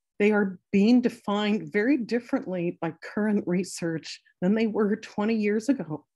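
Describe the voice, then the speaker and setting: Somewhat breathy and dark, mellow in tone, a woman speaks at medium pitch and a fairly slow pace with ordinary pitch variation against a quiet background. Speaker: eating disorder clinician. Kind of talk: lecture. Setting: video call. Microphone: video call.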